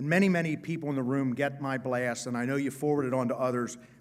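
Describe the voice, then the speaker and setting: A man with an American accent talks very fast at a medium pitch with ordinary pitch variation. The room echo is audible. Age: 60s. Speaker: state senator. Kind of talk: conference speech. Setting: stage with audience. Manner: animated; halting.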